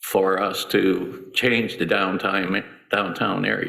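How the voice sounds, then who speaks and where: Audible room echo surrounds a man whose fairly low voice has a bright, sharp tone. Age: 70s. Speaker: city commission candidate. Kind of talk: candidate forum opening statement.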